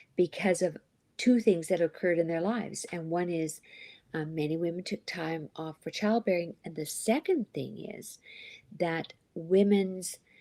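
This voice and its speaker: A woman's fairly low, dark, mellow voice with ordinary pitch variation, in a dry, close sound with no echo and a very clean recording against a silent background. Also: moderate pace, big swings in loudness. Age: 60s. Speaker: life coach and author. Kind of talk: interview.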